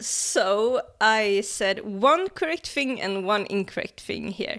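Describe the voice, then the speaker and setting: This woman speaks in a normal speaking voice, fairly high-pitched, with ordinary pitch variation. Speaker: science explainer YouTuber. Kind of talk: casual educational video commentary.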